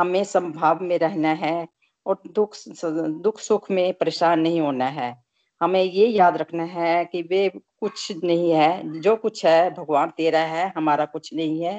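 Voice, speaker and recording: A woman speaks in a plain, everyday voice with a fairly low pitch and ordinary pitch variation. The sound is dry and close, with no echo. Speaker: satsang participant. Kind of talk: group discussion. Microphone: poor connection.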